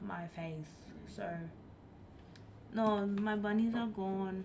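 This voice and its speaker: Speaking very slowly at a medium pitch with fairly even intonation, a woman leaves long, frequent pauses amid audible room echo and noticeable background noise. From Germany. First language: not English (English is her third language). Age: 20s. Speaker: live streamer. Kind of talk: casual chat. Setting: live stream.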